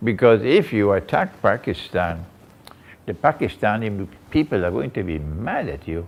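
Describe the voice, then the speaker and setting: There is vocal fry in this man's voice. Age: 70s. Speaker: Islamic scholar. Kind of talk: lecture.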